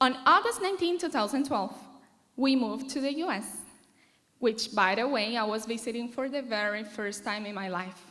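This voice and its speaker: Bright and sharp in tone, a woman with a high pitch speaks at a moderate pace with lively intonation. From Venezuela. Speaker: marketing manager. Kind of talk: commencement speech.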